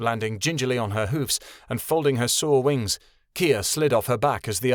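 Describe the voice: The reading aloud is plain, and the pitch shifts in an ordinary way.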